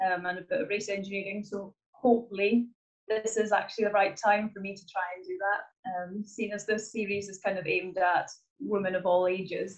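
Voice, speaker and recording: Her loudness swings widely as a woman speaks at a medium pitch and a fairly quick pace in a monotone, flat delivery. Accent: Hebridean. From Scotland, Isle of Lewis. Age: 20s. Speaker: motorsport engineer. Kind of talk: interview. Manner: hesitant, many fillers.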